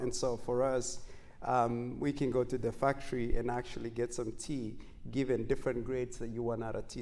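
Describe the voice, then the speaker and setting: The delivery moves at a moderate pace. Room echo is audible. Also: man. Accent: Kenyan. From Kenya. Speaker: marathon runner and entrepreneur. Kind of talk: talk show interview. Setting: stage with live audience.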